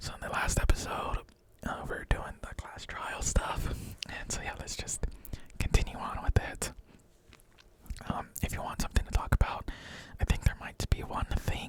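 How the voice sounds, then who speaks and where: Whispering, a man leaves long, frequent pauses, and his loudness swings widely. Noticeable background noise is present. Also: moderate pace. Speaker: ASMR gaming let's player. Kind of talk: casual whispered let's play commentary. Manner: whispered.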